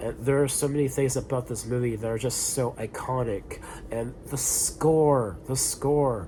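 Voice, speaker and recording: Medium pitch from a male speaker, fairly slow and fairly even in intonation, with noticeable background noise. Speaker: film reviewer. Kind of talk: casual talk to camera. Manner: hesitant, filler-heavy.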